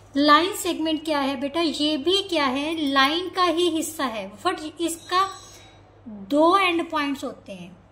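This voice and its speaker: A woman's raised, projected voice, extremely high in pitch, with lively intonation and audible room echo. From Punjab, India. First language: Punjabi (speaking Hindi). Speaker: maths teacher. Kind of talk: lecture. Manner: repetitive questioning, teacherly.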